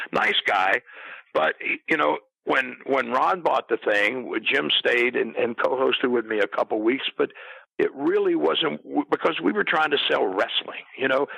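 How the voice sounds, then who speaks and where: Here a man speaks with an American accent. His pace is fairly slow and his loudness very even. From US Midwest. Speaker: retired pro wrestler and wrestling announcer. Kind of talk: interview. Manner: halting.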